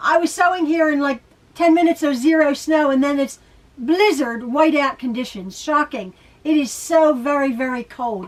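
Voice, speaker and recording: A woman talks with high pitch and ordinary pitch variation. She keeps a moderate pace. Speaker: sewing video host. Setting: sewing room at home.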